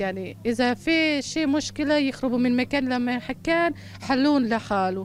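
A woman with a Bosnian accent, high in pitch at a moderate pace, with music in the background. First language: Bosnian (speaking Arabic). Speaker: former ISIS member in camp. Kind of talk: interview. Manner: halting.

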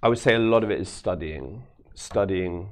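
Speaking at a moderate pace, a man with a London accent has a fairly low pitch. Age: 40s. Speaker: magician. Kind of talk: live magic performance; casual chat. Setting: studio.

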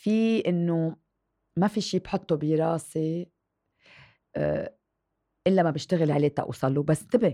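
Her tone is dark and mellow, with ordinary pitch variation at a moderate pace. The woman's sound is dry and close with no echo, over a quiet background. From Lebanon. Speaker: TV presenter and writer. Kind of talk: interview.

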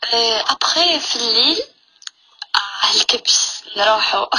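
A woman speaks in a high pitch. Noticeable noise sits in the background. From Algeria, Tiaret. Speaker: caller. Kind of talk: casual chat.

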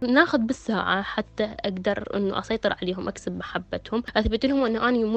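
A woman speaks with a southern Iraqi accent. Her pitch sits fairly high and varies in an ordinary way. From Iraq, Basra. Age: 20s. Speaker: cancer charity volunteer. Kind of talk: personal testimony.

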